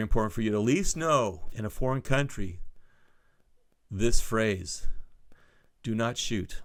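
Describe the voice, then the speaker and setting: On a very clean recording with a silent background, a man speaks with very wide pitch swings. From Southeast Asia (South Vietnam, Singapore) expat childhood. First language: Spanish. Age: 60s. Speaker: podcast host. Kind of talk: solo podcast monologue. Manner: casual, rambling with self-corrections.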